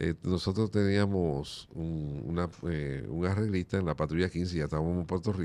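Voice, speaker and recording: A man's very deep, low voice with a dark, mellow tone, at a moderate pace, ordinary pitch variation and hardly any pauses. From Dominican Republic, Montecristi province; Dominican Republic. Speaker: merengue musician; guest. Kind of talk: interview. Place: studio. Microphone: studio mic.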